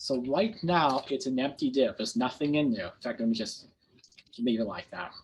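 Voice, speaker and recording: A man's fairly high voice with lively intonation at a moderate pace. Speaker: programming instructor. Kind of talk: lecture with live coding.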